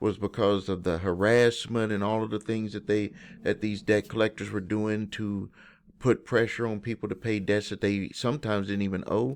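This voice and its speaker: Against a quiet background, a man with a Southern US accent speaks at a moderate pace in a fairly low, monotone, flat voice. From US South. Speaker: credit repair educator. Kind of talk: video explainer to viewers. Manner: casual, conversational with false starts.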